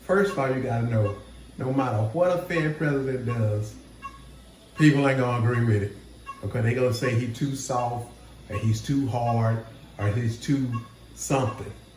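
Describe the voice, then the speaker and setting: A man speaks at a medium pitch with ordinary pitch variation and long, frequent pauses. Noticeable background noise and audible room echo are present. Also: moderate pace. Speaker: trading educator, channel host. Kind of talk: casual market commentary. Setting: hospital room.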